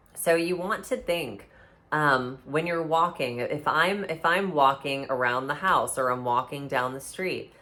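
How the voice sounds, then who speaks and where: A woman with a very deep, low pitch and a bright, sharp tone talks at a fairly slow pace with ordinary pitch variation amid audible room echo. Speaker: intuitive and mystic teacher. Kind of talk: lecture. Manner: halting with many fillers.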